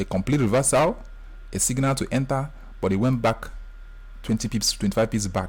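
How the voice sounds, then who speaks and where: A somewhat breathy man at a medium pitch. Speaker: forex trading tutor. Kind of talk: screen-share tutorial. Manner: fast; animated.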